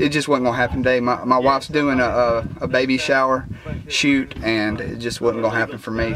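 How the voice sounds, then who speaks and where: He talks over noticeable background noise. The noise stays audible throughout. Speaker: metal detecting vlogger. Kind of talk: casual vlog chat. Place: street. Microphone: phone near.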